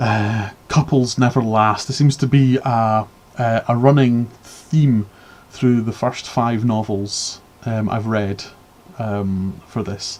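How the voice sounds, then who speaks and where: Delivered at a very slow pace in a Scottish accent, the speech keeps a fairly even intonation. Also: man, medium pitch for a man. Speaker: book reviewer streamer. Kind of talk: live stream book review. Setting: live stream with chat. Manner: halting, many fillers and repeats.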